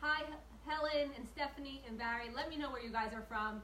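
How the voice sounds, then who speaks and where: There is noticeable background noise and audible room echo as a woman talks in a high pitch with ordinary pitch variation. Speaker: home cooking show host. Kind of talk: live cooking tutorial. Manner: fast; chatty, animated.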